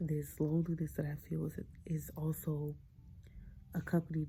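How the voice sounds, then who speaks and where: Whispering, a woman speaks at a fairly slow pace. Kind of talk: ASMR whisper ramble. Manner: whispered.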